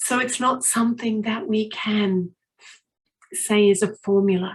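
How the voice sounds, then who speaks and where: At a fairly slow pace, a woman talks in a fairly high, somewhat breathy voice with ordinary pitch variation. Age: 60s. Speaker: motivational speaker. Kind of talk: inspirational talk at a retreat.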